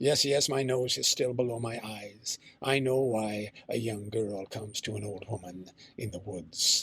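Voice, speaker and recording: Putting on a character voice, a man keeps to a moderate pace and a medium pitch. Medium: read story. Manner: honeyed, coaxing.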